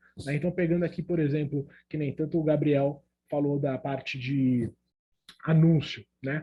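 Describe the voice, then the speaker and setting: A man speaks in a fairly high, somewhat breathy voice. His intonation is monotone and flat, at a moderate pace. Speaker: emotional intelligence coach, speaker. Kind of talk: online talk.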